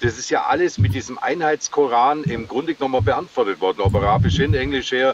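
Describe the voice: Over music in the background, a man with a southern German accent talks at a fairly quick pace with ordinary pitch variation, in a dry, close sound with no echo. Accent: southern German regional dialect.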